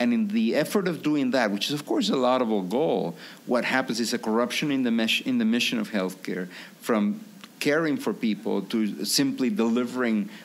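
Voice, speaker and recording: A man with a Peruvian accent at a medium pitch, lively intonation, very even loudness and a moderate pace, with noticeable background noise. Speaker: physician and author. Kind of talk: podcast interview. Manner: halting, many fillers.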